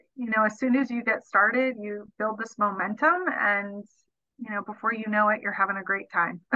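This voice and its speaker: Speaking with an American accent, the voice shows ordinary pitch variation. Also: woman. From US West Coast, San Diego, California. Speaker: market research business owner. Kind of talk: casual interview.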